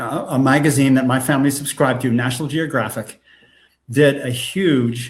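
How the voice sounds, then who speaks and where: A somewhat breathy man with an American accent, medium pitch and a fairly slow pace, in a very clean recording with a silent background. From New England, US (New Hampshire). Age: 80s+. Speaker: film and game writer and director. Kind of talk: casual interview chat. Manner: animated, enthusiastic; halting, many repeated words.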